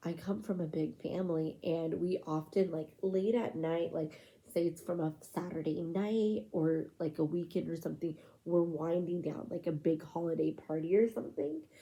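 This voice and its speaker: A soft-spoken woman's fairly low, dark, mellow voice at a moderate pace with hardly any pauses. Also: ordinary pitch variation. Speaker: ASMR creator. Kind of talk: soft-spoken ASMR ramble.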